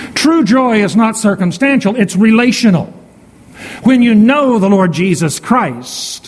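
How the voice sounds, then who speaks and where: A man talks at a very slow pace in a high pitch. His loudness stays very even over noticeable background noise. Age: 60s. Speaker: pastor. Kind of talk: sermon. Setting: church.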